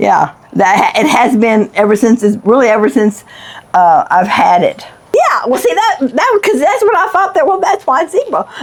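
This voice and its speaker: A woman with an American accent talks at a moderate pace, her high voice making very wide pitch swings at a very even loudness. Noticeable background noise sits behind her. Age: 70s. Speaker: homeowner. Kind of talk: casual chat. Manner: halting.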